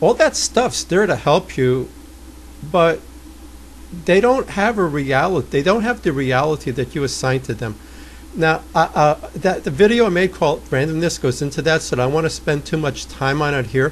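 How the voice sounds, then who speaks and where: With a New York accent, a man is talking. His pace is moderate. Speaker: trading coach. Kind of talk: tutorial. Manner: blunt.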